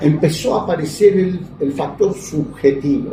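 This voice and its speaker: A man talks with lively intonation. Audible room echo and noticeable background noise surround him. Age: 70s. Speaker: lawyer and political activist. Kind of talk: interview. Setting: interview in the evening.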